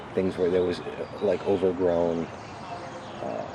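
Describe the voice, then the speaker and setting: With noticeable background noise, a man with an American accent speaks at a very deep, low pitch and a moderate pace. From Manchester, Connecticut. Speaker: volunteer. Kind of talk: casual interview. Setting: outdoors in a golf cart. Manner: quiet.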